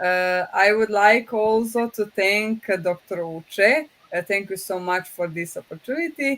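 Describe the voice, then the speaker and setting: With a Croatian accent, a woman of medium pitch speaks at a fairly slow pace with ordinary pitch variation and hardly any pauses. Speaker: professor, project president. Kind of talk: closing remarks. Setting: online webinar. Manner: halting, many fillers.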